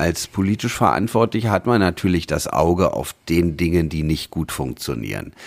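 A man's very deep, low voice with vocal fry and very wide pitch swings, at a moderate pace with hardly any pauses. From Berlin. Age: 40s. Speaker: state politician. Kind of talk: interview. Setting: office.

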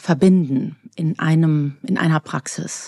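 The sound is close and dry, without echo. A woman's tone is dark and mellow, and her pitch varies in an ordinary way. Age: 50s. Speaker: physician and author. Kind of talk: interview.

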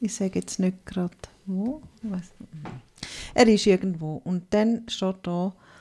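A woman speaks at a very slow pace in a dark, mellow tone. Her voice is somewhat breathy. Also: medium pitch for a woman, ordinary pitch variation. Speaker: podcast host. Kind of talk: casual chat.

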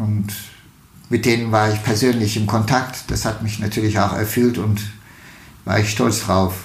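A man speaks at a fairly slow pace in a fairly low pitch, his intonation monotone and flat. The recording carries noticeable background noise and audible room echo. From Turkey, Istanbul. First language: Turkish (speaking German). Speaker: state politician. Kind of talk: interview. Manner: halting, many fillers.

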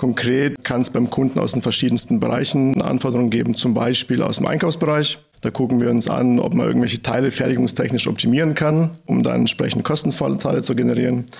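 A man at a medium pitch talks very fast with hardly any pauses, his loudness very even and his intonation fairly even, over noticeable background noise. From Bad Mergentheim, Baden-Württemberg, Germany. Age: 30s. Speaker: engineering team leader. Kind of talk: business podcast interview.

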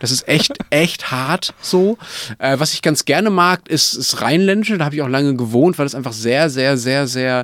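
A man speaks at a moderate pace in a fairly high pitch, with lively intonation. He has an ordinary speaking voice. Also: dry, close sound with no echo. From Germany. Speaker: political journalist, podcast co-host. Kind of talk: casual chat.

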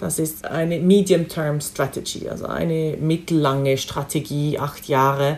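Speaking at a fairly slow pace with hardly any pauses, a woman uses a very deep, low voice and fairly even intonation. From Switzerland. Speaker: diplomat. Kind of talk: interview. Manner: halting, with frequent fillers.

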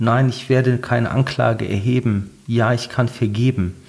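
Somewhat breathy, a man speaks at a medium pitch and a very slow pace. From Ruhr area, Germany (Bottrop). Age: 40s. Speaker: pastor. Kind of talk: interview storytelling. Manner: animated storytelling.

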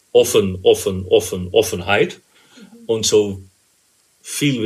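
The speech comes at a very slow pace in a Dutch accent. It is somewhat breathy, with monotone, flat intonation. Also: man. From Netherlands, Rotterdam. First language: Dutch (speaking German). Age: 50s. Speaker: interview guest sharing personal experience. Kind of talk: personal interview. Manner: hesitant, many fillers.

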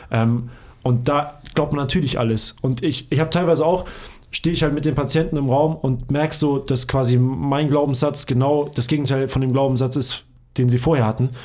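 At a moderate pace, a man speaks in a normal speaking voice with very even loudness and fairly even intonation. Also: fairly high pitch for a man. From Hamburg, northern Germany. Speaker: physiotherapist and trainer. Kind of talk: casual chat.

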